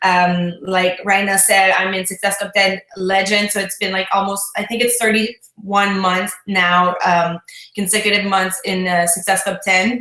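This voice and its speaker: A woman speaks with a French Canadian accent. Her pitch sits in the medium range. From Quebec, Canada. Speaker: fitness business coach. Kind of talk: online talk with tips.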